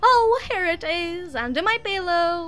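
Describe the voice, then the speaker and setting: Over clear music in the background, a squeaky put-on character voice at an extremely high pitch talks at a fairly slow pace. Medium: actual play.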